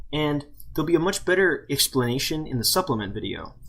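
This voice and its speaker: Mumbling at a fairly quick pace, the man speaks in a high pitch. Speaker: tech tutorial maker. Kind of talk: screen-recorded software tutorial. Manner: mumbling, casual.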